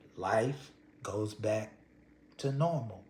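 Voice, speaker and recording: At a very slow pace, the speaker sounds somewhat breathy in an American accent. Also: man. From Texas, Houston. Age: 60s. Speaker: storyteller. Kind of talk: personal storytelling. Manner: conversational.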